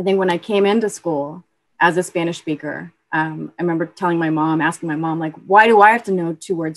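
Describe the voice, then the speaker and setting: Against a quiet background, a woman talks at a very fast pace in a fairly low pitch with fairly even intonation. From California and Boston, US. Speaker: county equity director, alumna. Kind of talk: interview conversation. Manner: casual, many fillers and repetitions.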